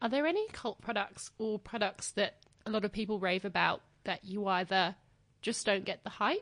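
A woman speaks at a moderate pace and medium pitch with an Australian accent. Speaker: podcast host, beauty journalist. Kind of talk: interview.

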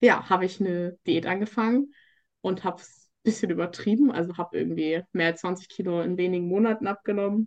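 This woman talks at a fairly quick pace with fairly even intonation and big swings in loudness, using a normal speaking voice at a medium pitch. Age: 20s. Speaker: coaching client sharing eating disorder recovery. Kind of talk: interview testimony.

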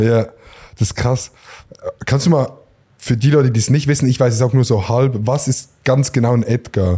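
A man's medium-pitched, somewhat breathy voice with a dark, mellow tone, moderate pace, fairly even intonation, very even loudness, and long, frequent pauses. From rural Switzerland. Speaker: podcast host. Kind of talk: casual chat. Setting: barber shop.

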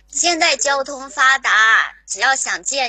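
With lively intonation, a woman talks in a high voice. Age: 30s. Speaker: caller, show fan. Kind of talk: flirtatious banter call-in. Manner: giggly.

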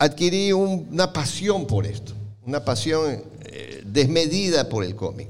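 A man's fairly high voice with vocal fry, very wide pitch swings and a very slow pace. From Ecuador, Guayaquil. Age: 60s. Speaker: comic collector. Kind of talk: talk to live audience.

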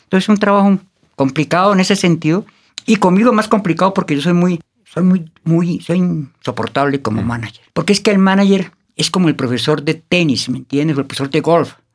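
A man with a high-pitched voice talks at a fairly quick pace. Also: lively intonation. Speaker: artist manager. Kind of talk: casual interview. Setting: studio.

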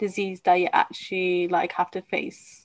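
Medium-pitched woman's voice with a British accent. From UK. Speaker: podcast host, fitness company CEO. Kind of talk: interview.

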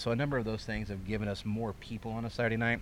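A man with a Midwestern American accent. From central Illinois (Fairbury). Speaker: racetrack owner. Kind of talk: casual interview. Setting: outdoors at racetrack grandstand.

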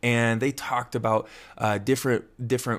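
A man talks at a very fast pace in a medium pitch. His tone is animated and excited. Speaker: personal growth podcast host. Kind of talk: solo podcast monologue. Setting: home recording with a USB microphone. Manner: animated, excited.

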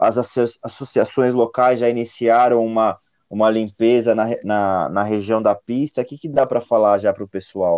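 A man with an ordinary speaking voice talks at a moderate pace and medium pitch, his intonation fairly even, the sound dry and close with no echo over a quiet background. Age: 30s. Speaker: communications director at a mountain bike event. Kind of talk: casual chat.

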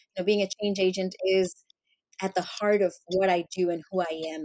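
A woman speaks in a Spanish accent with a dark, mellow tone. Her intonation is fairly even. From Colombia. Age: 40s. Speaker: entrepreneur and consultant. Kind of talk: interview conversation.

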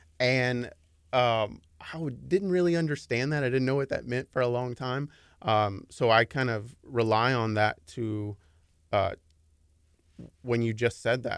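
On a very clean recording with a silent background, a man with a Texan accent talks at a medium pitch and a fairly slow pace, with ordinary pitch variation and long, frequent pauses. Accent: Texan American. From Dallas, Texas. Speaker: advertising consultant. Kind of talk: radio interview. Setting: radio studio.

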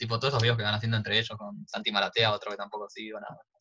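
With fairly even intonation, a man talks at a medium pitch. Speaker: podcast co-host, hospitality student. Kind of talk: casual chat. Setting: at home during quarantine. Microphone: audio problems.

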